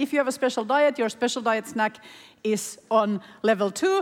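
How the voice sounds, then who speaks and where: The speaker moves at a fairly quick pace over noticeable background noise. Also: woman. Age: 40s. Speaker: panel moderator. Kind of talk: panel discussion; event announcements. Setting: conference stage with audience.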